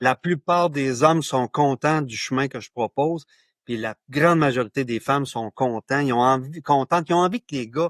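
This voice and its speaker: A man talks at a fairly slow pace with lively intonation, in an ordinary speaking voice. The sound is dry and close with no echo, against a quiet background. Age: 60s. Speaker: author and men's issues pioneer. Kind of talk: podcast interview.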